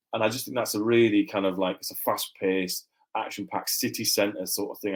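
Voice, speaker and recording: Here a man speaks at a very fast pace. His fairly low voice keeps a fairly even intonation. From Yorkshire, Huddersfield. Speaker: crime novelist, former radio presenter. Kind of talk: podcast interview. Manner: casual, with many false starts and repetitions.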